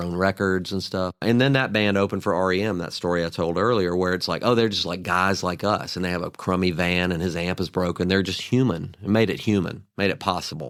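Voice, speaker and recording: Someone speaks at a fairly quick pace with a Southern US accent and ordinary pitch variation. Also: man. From US South, Mobile, Alabama. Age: 60s. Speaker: songwriter and guitarist. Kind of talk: interview conversation. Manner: casual, animated storytelling.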